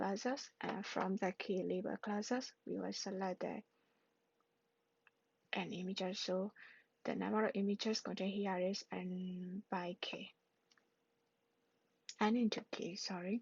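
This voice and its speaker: A woman's somewhat breathy, medium-pitched voice at a fairly slow pace, with fairly even intonation and long, frequent pauses. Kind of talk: self-study explainer talk. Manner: hesitant, halting.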